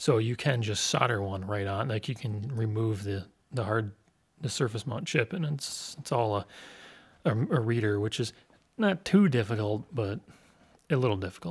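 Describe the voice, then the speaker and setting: Somewhat breathy, a man talks with ordinary pitch variation and long, frequent pauses. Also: medium pitch for a man, moderate pace. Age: 30s. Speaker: podcast host. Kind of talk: casual chat.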